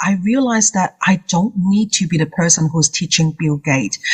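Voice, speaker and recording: A woman's somewhat breathy, fairly low voice at a moderate pace, with lively intonation and a dry, close sound without echo. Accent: Hong Kong. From Hong Kong. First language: Cantonese. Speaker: confidence coach. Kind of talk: interview.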